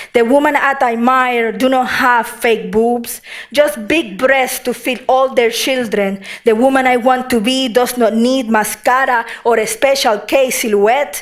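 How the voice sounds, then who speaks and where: A woman speaks at a fairly slow pace in a high voice, her intonation fairly even and her loudness very even, with noticeable background noise. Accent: Puerto Rican. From Puerto Rico. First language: Spanish. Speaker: poet. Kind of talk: poetry reading.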